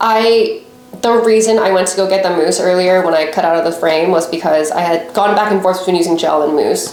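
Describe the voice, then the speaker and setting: A woman talks at a moderate pace and medium pitch with lively intonation. Noticeable background noise runs beneath her. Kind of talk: casual talk to camera, hair-care vlog. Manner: mumbling at times.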